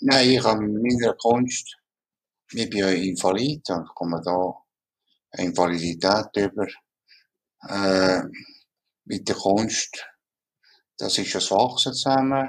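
Delivery comes at a very slow pace with long, frequent pauses and ordinary pitch variation. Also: man, fairly low pitch for a man. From Ticino, Switzerland. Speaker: mouth painter, tetraplegic artist. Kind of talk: interview. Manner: halting.

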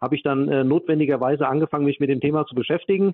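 Very fast and in a slight Hessian accent, a man talks at a fairly high pitch with fairly even intonation. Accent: slight Hessian dialect, barely noticeable. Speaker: data protection expert. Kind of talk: interview. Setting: remote call.

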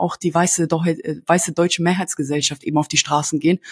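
A woman's fairly low voice, somewhat breathy, with fairly even intonation at a fairly quick pace, in a dry, close sound with no echo. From Germany. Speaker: values ambassador visiting schools. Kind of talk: interview. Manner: halting, many repetitions and fillers.

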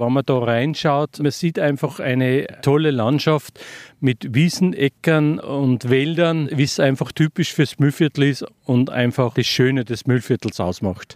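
An ordinary speaking voice at a fairly slow pace, with ordinary pitch variation, very even loudness, and a dry, close sound with no echo on a very clean recording against a silent background. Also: man, fairly high pitch for a man. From Upper Austria, Rohrbach district. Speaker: retired teacher. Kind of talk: interview.

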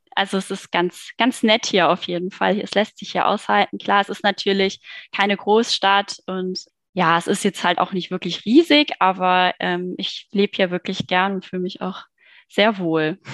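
In a normal speaking voice, a woman talks at a moderate pace with medium pitch and fairly even intonation. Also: dry, close sound with no echo. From Germany, Cologne. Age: 30s. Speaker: online marketing worker, book club member. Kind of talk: casual interview chat.

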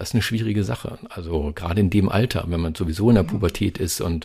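A man's very fast speech has ordinary pitch variation and a somewhat breathy quality. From Germany, Lower Saxony (Hameln area). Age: 50s. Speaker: radio host and journalist. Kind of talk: interview. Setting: video call.

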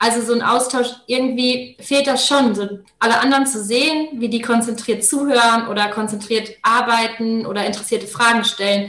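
With a plain, everyday voice, a woman speaks at a fairly high pitch. Her pace is fairly quick and her intonation fairly even. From Germany, Paderborn. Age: 20s. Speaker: master's student. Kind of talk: casual interview.

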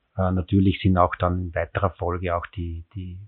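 A man speaks in a very deep, low voice with a monotone, flat delivery. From rural Styria, Austria (near Graz). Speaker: city cycling official. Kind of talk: interview.

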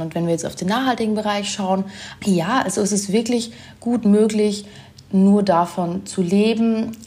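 Moderate pace and ordinary pitch variation from a woman, with noticeable background noise. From Germany. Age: 20s. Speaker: sustainability blogger and influencer. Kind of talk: casual interview.

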